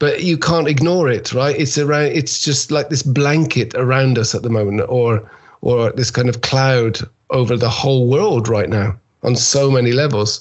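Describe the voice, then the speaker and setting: A man's voice sits at a medium pitch, a little breathy, and its pitch moves up and down in the usual way. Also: very even loudness. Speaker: keynote speaker. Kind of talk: interview. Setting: video call. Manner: playful.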